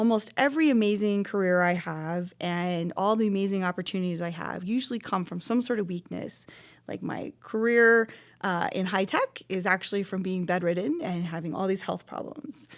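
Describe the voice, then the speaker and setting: The recording is very clean, with a silent background. A woman speaks at medium pitch with lively intonation. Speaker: motivational speaker and charity founder. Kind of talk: motivational talk to camera. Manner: loud.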